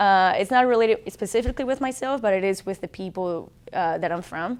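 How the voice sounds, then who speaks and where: A woman with a Colombian accent speaks at a fairly quick pace and a medium pitch with ordinary pitch variation. The recording is very clean with a silent background. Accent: Colombian Spanish accent, noticeable. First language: Spanish. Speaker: military officer. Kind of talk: testimony. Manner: halting.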